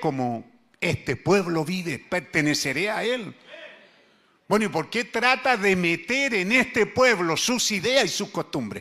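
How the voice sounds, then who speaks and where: This man's high voice makes very wide pitch swings at a fairly slow pace, with a bright, sharp tone. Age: 70s. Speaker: pastor. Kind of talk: sermon. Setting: church.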